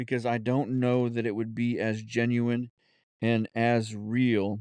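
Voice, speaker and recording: At a very slow pace, a man in a Southern US accent speaks at medium pitch with monotone, flat intonation and very even loudness. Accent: Southern US drawl, put on when lazy. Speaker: podcast host. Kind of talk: solo podcast monologue, unscripted. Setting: home studio. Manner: halting, many fillers and restarts.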